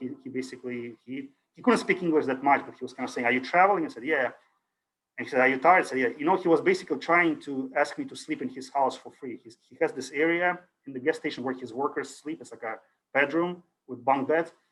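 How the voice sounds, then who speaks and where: A man with a Russian accent, fairly high pitch, ordinary pitch variation, big swings in loudness, and a very fast pace. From Ukraine. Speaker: university lecturer. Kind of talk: lecture. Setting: video call. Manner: casual, hesitant with fillers.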